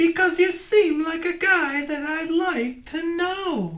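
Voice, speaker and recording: This put-on character voice is squeaky and extremely high in pitch, delivered at a fairly slow pace. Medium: read story.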